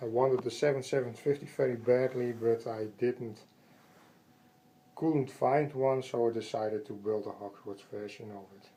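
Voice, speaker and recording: Dark and mellow in tone, a man with a Dutch accent talks at a moderate pace and medium pitch. His intonation is fairly even, while his loudness swings widely. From Netherlands. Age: 30s. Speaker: Lego train collector. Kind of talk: casual home video tour. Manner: hesitant, halting.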